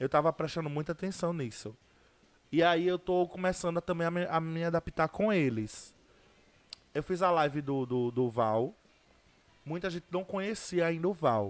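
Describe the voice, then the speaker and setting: A high-pitched man talks at a moderate pace with ordinary pitch variation and long, frequent pauses. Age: 20s. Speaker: social media personality. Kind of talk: interview. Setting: studio.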